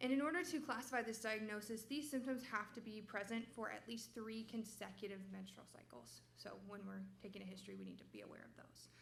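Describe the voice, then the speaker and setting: A woman talking at a fairly quick pace, hardly any pauses, big swings in loudness. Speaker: medical resident presenting research. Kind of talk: research presentation.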